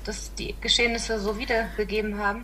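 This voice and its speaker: A woman with a fairly high pitch talks at a fairly quick pace. Audible room echo and noticeable background noise are present. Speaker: podcast guest. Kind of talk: casual chat.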